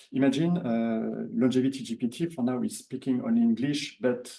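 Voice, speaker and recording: At a moderate pace, a man with a French accent speaks at a medium pitch. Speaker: workshop participant. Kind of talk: audience comment at workshop. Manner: halting.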